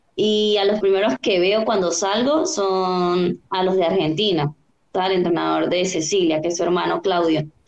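A woman talks in an ordinary speaking voice at medium pitch, with ordinary pitch variation. Her loudness stays very even and her pace is moderate. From Venezuela, Táchira. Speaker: olympic open water swimmer. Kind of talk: interview.

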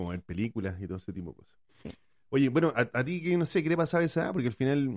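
Delivered at a very fast pace in a Chilean accent, the speech has very wide pitch swings and big swings in loudness. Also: man, medium pitch for a man. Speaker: podcast co-host, parent. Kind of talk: casual chat.

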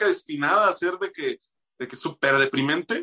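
In a Bajío Mexican accent, a man speaks with a bright, sharp tone in a dry, close sound with no echo. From Mexico, Moroleón, Guanajuato. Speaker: musician and radio announcer. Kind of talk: casual interview chat.

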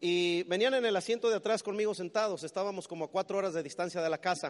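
A man talks at a very fast pace in an animated tone. His pitch varies in an ordinary way. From Mexico City. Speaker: business motivational speaker. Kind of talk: motivational talk.

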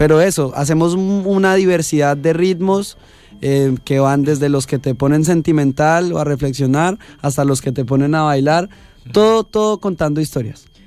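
Here a man has an unremarkable speaking voice with a fairly high pitch and ordinary pitch variation. He speaks at a moderate pace with very even loudness. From Colombia, Cundinamarca. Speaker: singer-songwriter. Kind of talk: radio interview. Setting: small radio studio.

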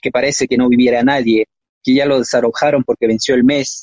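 This man's voice sits at a medium pitch. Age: 30s. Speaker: poet. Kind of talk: poetry reading. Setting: live-streamed on Facebook.

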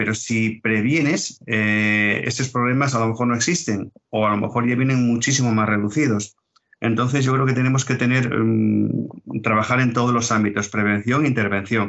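Speaking at a moderate pace, a man with a medium pitch keeps his intonation fairly even and his loudness very even. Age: 60s. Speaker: retired police officer and road safety educator. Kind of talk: interview. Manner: halting, repeats words.

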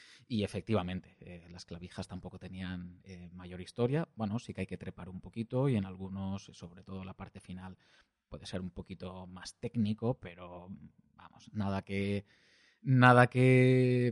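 A man speaks at a very deep, low pitch with ordinary pitch variation and a fairly slow pace. His loudness swings widely, and the sound is dry and close with no echo. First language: Valencian (speaking Spanish). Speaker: podcast host, hiker. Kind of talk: solo travel narration. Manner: hesitant, many fillers and repetitions.

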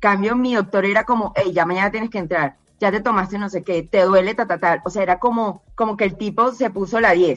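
A woman speaks in a plain, everyday voice at medium pitch with ordinary pitch variation. Her pace is fairly quick, with hardly any pauses. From Colombia, Barranquilla. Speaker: cancer survivor. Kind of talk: testimony.

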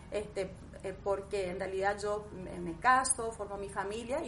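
A woman's voice with noticeable background noise. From Argentina, Misiones province. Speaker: aesthetic medicine doctor. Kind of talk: interview. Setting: her home consulting room.

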